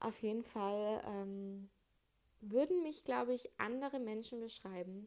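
A woman with a fairly high pitch and a dark, mellow tone talks at a very slow pace, with ordinary pitch variation. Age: 20s. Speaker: solo podcaster. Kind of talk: casual monologue.

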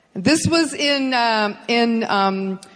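Audible room echo around a woman's fairly high pitch and ordinary pitch variation. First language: English (speaking Spanish). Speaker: business motivational speaker. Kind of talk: presentation with interpreter. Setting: stage with audience.

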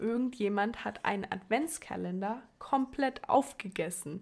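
A woman talks at a fairly slow pace. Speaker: podcast guest. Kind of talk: casual chat.

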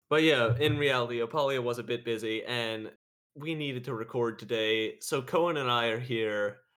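This man has an ordinary speaking voice of medium pitch with ordinary pitch variation. He talks at a moderate pace. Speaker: podcast host. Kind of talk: casual chat.

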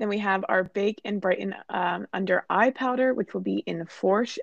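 Dry and close with no echo, a woman with an American accent uses a normal speaking voice at medium pitch with ordinary pitch variation. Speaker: sales and marketing team member. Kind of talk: casual podcast chat.

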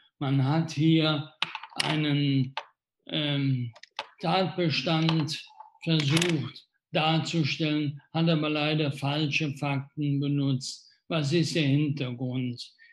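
A man's somewhat breathy, fairly high-pitched voice, monotone and flat in intonation, at a very slow pace. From Rhineland, Germany (Wesseling near Cologne). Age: 60s. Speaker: mayor. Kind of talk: live Q&A interview. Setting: Facebook livestream.

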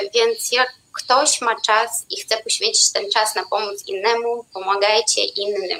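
Here a woman talks at a fairly slow pace with hardly any pauses. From Belarus. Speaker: swing dancer and performer. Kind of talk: live-streamed panel discussion.

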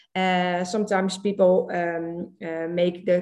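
A woman with a Dutch accent speaks at a medium pitch. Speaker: social media trainer. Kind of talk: casual chat. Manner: halting.

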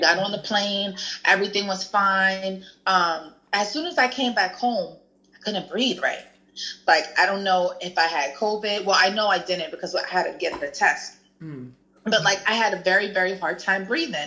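A woman talks at a moderate pace with a medium pitch. Her tone is bright and sharp, with ordinary pitch variation. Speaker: guest sharing weight loss story. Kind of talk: casual chat.

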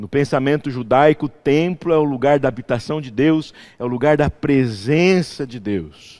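A man with a fairly high pitch talks at a moderate pace with hardly any pauses, his loudness swinging widely. His pitch varies in an ordinary way, and the recording is very clean with a silent background. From interior of São Paulo state, Brazil. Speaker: pastor. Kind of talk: sermon. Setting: church.

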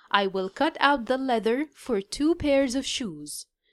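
A woman with an Egyptian accent speaks at a high pitch with very wide pitch swings on a very clean recording with a silent background. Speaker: English teacher. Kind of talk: language lesson with reading aloud. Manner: slow, clear enunciation.

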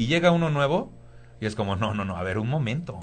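The voice moves at a very fast pace with lively intonation and a somewhat breathy quality. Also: man. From Mexico, Tampico, Tamaulipas. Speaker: stand-up comedian. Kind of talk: casual chat.

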